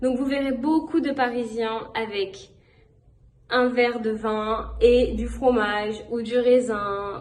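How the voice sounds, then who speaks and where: A woman's delivery is very slow, and her intonation stays fairly even. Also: fairly high pitch for a woman. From France (Paris). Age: 20s. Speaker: language teaching assistant. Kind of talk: informal travel talk to camera. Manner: casual with frequent hesitations.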